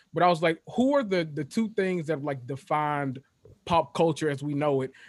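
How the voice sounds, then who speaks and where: A man with a Memphis accent speaks at a moderate pace, his fairly high pitch moving with ordinary variation. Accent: Southern US (Memphis). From Memphis, Tennessee. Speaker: guest. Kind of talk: casual chat. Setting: video call.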